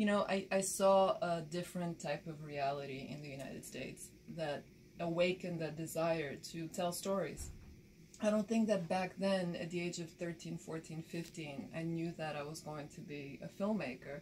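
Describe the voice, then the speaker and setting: A woman with a Bulgarian accent speaks at a moderate pace in a somewhat breathy, fairly low voice, with ordinary pitch variation and big swings in loudness. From Bulgaria, rural village; moved to Baltimore at 13. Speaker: documentary filmmaker and photojournalist. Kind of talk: interview.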